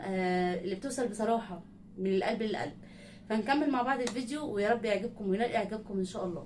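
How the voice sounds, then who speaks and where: A woman speaks at a fairly high pitch and a moderate pace with ordinary pitch variation. Audible room echo and noticeable background noise are present. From Egypt, not raised in Sohag. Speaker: reaction video creator. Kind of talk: casual talk to viewers. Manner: halting.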